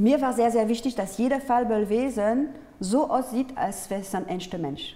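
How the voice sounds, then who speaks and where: A woman's fairly high voice with a French accent and lively intonation. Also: moderate pace. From France, Paris. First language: French (speaking German). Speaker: artist and peace activist; interview guest. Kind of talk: interview. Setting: studio. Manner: halting, with many fillers. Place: studio. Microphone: lapel.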